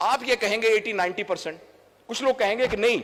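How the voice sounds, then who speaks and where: A man with a high pitch and ordinary pitch variation. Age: 60s. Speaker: doctor and trainer. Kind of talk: public speech. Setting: stage with audience.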